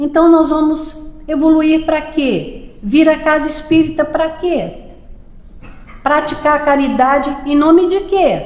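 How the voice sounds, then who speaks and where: Amid audible room echo and noticeable background noise, a woman talks very slowly at a high pitch with fairly even intonation. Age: 70s. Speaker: spiritist lecturer. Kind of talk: lecture. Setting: public meeting at a spiritist center.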